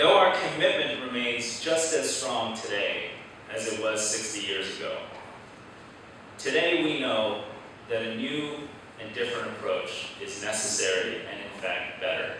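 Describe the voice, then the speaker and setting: Over noticeable background noise and strong room echo, the speech moves at a fairly slow pace with long, frequent pauses and big swings in loudness. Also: man. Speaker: guest. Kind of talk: formal speech. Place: hall.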